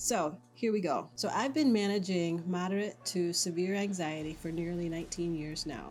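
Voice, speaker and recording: Over background music and audible room echo, a woman speaks at a moderate pace and fairly low pitch with ordinary pitch variation. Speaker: lifestyle vlogger. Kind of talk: personal testimony. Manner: hesitant.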